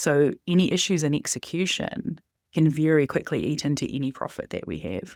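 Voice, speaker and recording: In a New Zealand accent, a woman speaks in a very deep, low voice with vocal fry and ordinary pitch variation, in a very clean, dry, close recording with no echo and a silent background. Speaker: data and analytics director. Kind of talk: podcast interview.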